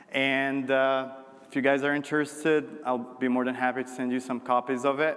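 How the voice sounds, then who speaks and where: Noticeable background noise sits under a man's voice. He talks at a medium pitch and a moderate pace. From Morocco. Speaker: marketing executive. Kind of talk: keynote talk. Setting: conference stage with audience.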